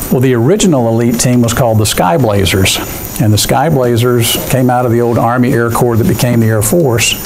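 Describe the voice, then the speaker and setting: A man talks at a fairly quick pace and medium pitch, with ordinary pitch variation and very even loudness. Audible room echo and noticeable background noise are present. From military family, moved around US, settled in Georgia. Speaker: accounting firm managing partner. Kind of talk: guest talk to university students. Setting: classroom, no microphone. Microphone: no mic in room.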